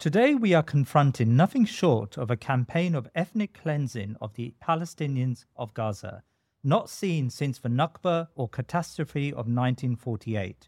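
Recorded dry and close with no echo and a very clean, silent background, a man speaks at a moderate pace with a fairly high pitch, lively intonation and hardly any pauses. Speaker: podcast interviewer. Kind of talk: interview. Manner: hesitant, many fillers.

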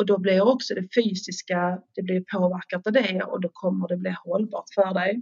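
A woman talks at a moderate pace and medium pitch. Her voice carries vocal fry. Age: 50s. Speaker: stress coach and personal trainer. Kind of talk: podcast interview. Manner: hesitant, filler words.

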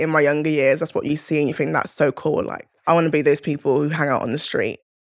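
A woman with a very deep, low voice talks at a very fast pace in a monotone, flat delivery. The recording is very clean, with a silent background. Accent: South London. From South London, England (Crystal Palace). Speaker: rugby player. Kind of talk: podcast interview monologue.

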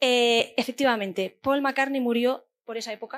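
At a moderate pace, a woman speaks with a fairly high pitch and fairly even intonation in a very clean recording with a silent background. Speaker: podcast host. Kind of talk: live podcast recording; scripted narration. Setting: stage with audience.

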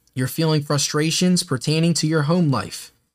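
In a very clean recording with a silent background, a man uses a plain, everyday voice at a fairly high pitch, moderate pace, and ordinary pitch variation. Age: 20s. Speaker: podcast host. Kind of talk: casual monologue; horoscope reading. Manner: rambling, filler-heavy (um, like).

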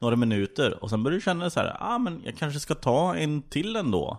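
A man's fairly high voice with very wide pitch swings, at a moderate pace. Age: 20s. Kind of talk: improvised comedy interview.

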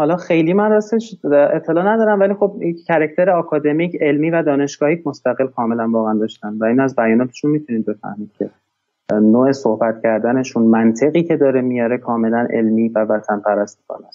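Here is a man with a normal speaking voice at medium pitch. He talks at a fairly quick pace with lively intonation. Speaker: international security researcher. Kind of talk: long interview discussion. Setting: online video call. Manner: formal, polite.

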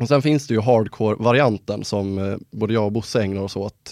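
Against a quiet background, a man in a normal speaking voice talks at a moderate pace with fairly low pitch and fairly even intonation, the sound dry and close with no echo. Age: 20s. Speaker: podcast host. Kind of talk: casual chat.

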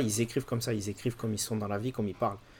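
The recording is very clean, its background silent. A man talks at a medium pitch. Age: 20s. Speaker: writer and poet. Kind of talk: interview. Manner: halting.

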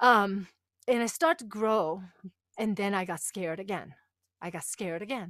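In a Japanese accent, a woman speaks at a medium pitch, the sound dry and close with no echo. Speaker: women's empowerment coach. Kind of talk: interview, personal testimony.

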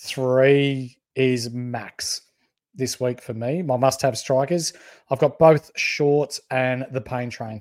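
Recorded very cleanly against a silent background with a dry, close sound and no echo, a man with an Australian accent talks at a very slow pace. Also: medium pitch for a man, fairly even intonation. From country Victoria, Australia (Bendigo). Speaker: fantasy sports podcast co-host. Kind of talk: casual chat. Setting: live stream.

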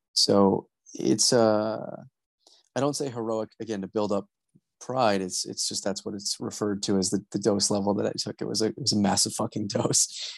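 A man with an unremarkable speaking voice talks at a moderate pace and a fairly low pitch, with ordinary pitch variation, in a dry, close sound with no echo and a quiet background. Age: 20s. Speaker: genital autonomy activist. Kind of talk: interview.

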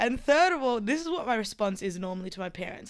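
A woman with an Australian accent on a very clean recording against a silent background. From rural Queensland, Australia. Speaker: DJ and artist. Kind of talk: casual chat.

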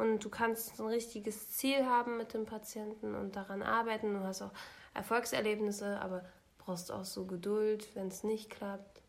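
In a monotone, flat intonation, a woman speaks at a fairly high pitch and a moderate pace. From Germany, Lower Saxony. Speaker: podcast co-host. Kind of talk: casual chat.

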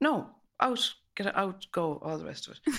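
Over a silent background in a very clean recording, a woman with a western Irish accent speaks with vocal fry and very wide pitch swings. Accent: Irish, west of Ireland. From west of Ireland. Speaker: host's mother. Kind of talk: casual chat.

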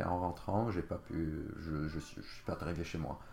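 Somewhat breathy and very deep, a man's low voice moves at a fairly slow pace with ordinary pitch variation. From Lebanon, Jounieh. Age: 30s. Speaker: podcast guest. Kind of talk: casual interview, personal story. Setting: host's home. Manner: halting, many fillers.

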